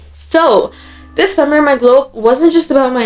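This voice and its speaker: The woman's pitch varies in an ordinary way while noticeable noise sounds behind her. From Dubai. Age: 20s. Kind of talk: casual talk to camera. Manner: upbeat.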